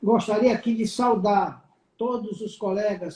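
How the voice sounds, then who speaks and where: This man's voice sits at a high pitch. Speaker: veterinary council president. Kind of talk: live stream closing remarks. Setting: online live stream.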